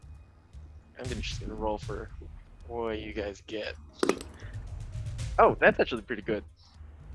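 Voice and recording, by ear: Natural-voiced reading aloud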